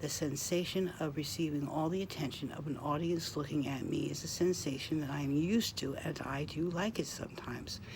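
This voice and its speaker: A woman's very deep, low voice at a fairly quick pace with hardly any pauses, ordinary pitch variation and audible room echo. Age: 60s. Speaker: vlogger. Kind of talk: casual monologue.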